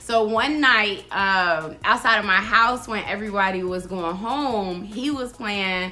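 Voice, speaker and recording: Amid audible room echo, a woman talks at a medium pitch with ordinary pitch variation. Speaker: YouTuber. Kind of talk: casual chat. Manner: loud; animated.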